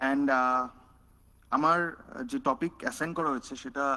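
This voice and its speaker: A man with a Bengali accent, fairly high-pitched, bright and sharp in tone, with ordinary pitch variation. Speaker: researcher. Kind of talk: panel talk.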